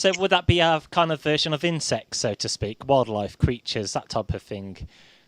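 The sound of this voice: A man's medium-pitched voice with lively intonation, a moderate pace and a fairly bright tone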